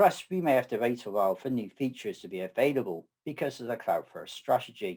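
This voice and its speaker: A man with a southwest English accent, medium in pitch, dark and mellow in tone, at a moderate pace with very wide pitch swings, in a very clean recording with a silent background. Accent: English (southwest UK). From southwest England. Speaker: data architect and conference speaker. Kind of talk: technical presentation.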